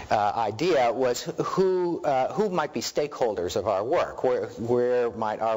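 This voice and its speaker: Over noticeable background noise, a man talks at a medium pitch with lively intonation. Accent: American. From New York. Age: 50s. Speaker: research director. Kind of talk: lecture. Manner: fast.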